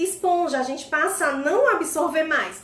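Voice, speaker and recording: Raising and projecting her voice amid audible room echo, a woman speaks in an extremely high pitch with a bright, sharp tone and ordinary pitch variation. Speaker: personal development coach. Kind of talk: instagram live talk. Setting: live stream.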